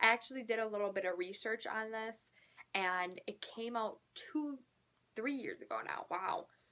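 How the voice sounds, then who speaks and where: A woman speaks quietly at a moderate pace, her fairly high voice bright and sharp in tone. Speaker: book YouTuber. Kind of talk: casual vlog talk to camera. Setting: at home, filming late at night.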